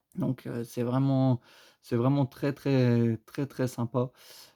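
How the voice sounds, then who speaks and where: In a dry, close recording with no echo, a man of medium pitch speaks fairly slowly in a dark, mellow tone with monotone, flat intonation. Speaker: YouTuber opening trading card orders. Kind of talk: casual unboxing commentary. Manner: halting, searching for words.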